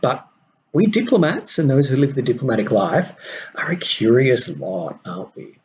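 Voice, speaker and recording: With an Australian accent, a man talks in a fairly high pitch, his pitch swinging very widely and his loudness rising and falling sharply. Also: moderate pace. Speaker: podcast host and mentor to diplomats. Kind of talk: solo podcast monologue.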